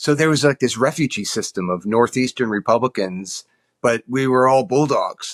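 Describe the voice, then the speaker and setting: In a very clean recording with a silent background and a dry, close sound with no echo, a man speaks at a medium pitch and moderate pace with ordinary pitch variation. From New York. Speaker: lobbyist. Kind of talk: casual interview chat. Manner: halting, repeats words.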